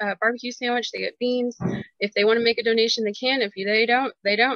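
A woman speaks in an American accent with a fairly high voice. Her intonation stays fairly even against a quiet background. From Chautauqua County, Kansas. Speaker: county fair treasurer and secretary. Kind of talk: interview. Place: home room. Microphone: video call.

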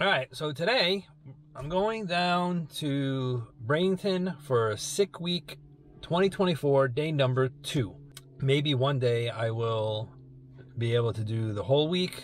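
At a very slow pace, a man speaks in a somewhat breathy voice, with a dry sound, no echo and light background noise. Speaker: car hobby vlogger. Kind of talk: casual vlog chat. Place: car. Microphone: phone near.

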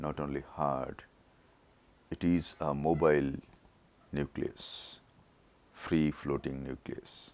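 A man with a very deep, low pitch speaks at a very slow pace in a monotone, flat intonation, leaving long, frequent pauses. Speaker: eye surgeon. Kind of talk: surgical video narration.

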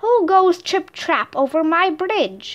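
Growling in a put-on character voice, a woman speaks at an extremely high pitch and a fairly slow pace. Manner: growling, menacing.

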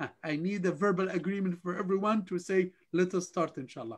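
A man speaks with a high pitch. His pace is moderate.

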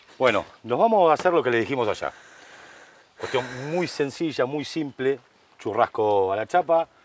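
A man with a Rioplatense accent talks at a moderate pace in a fairly high voice with lively intonation. Long, frequent pauses break up his speech, and the sound is dry with no echo. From Argentina. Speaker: cooking show host. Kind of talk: casual chat; cooking demonstration. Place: garden.

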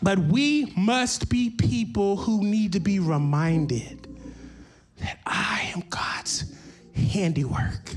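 A man with a high voice talks slowly, with ordinary pitch variation.

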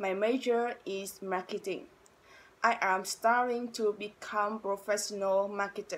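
A woman with a Vietnamese accent speaks at a fairly slow pace in a monotone, flat intonation. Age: 20s. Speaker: university student. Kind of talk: self-introduction to camera. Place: home room. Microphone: phone near.

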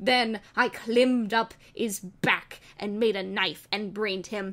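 A fairly high-pitched woman's voice at a moderate pace. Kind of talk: comedic dramatic reading of bad fan fiction. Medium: read story.

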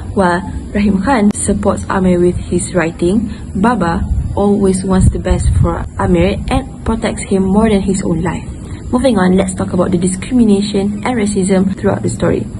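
Moderate pace from a woman, noticeable background noise behind her. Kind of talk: book report presentation. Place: garden. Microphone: earbuds.

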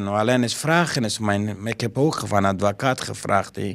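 A man talks at a moderate pace, and his pitch varies in an ordinary way. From Afghanistan. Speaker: school caretaker and refugee. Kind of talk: interview; interview answer. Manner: halting. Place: office. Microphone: handheld.

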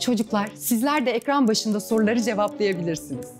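Clear background music beneath a woman's voice. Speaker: quiz show host. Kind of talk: children's TV presenting. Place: studio. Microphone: lapel.

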